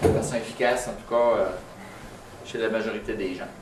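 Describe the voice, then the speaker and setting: With a Quebec accent, a man talks at a medium pitch and moderate pace in a monotone, flat intonation, with audible room echo and noticeable background noise. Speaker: tinnitus clinician giving a talk. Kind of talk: lecture. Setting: meeting room with live audience. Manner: conversational, many hesitations; speaking louder to be heard.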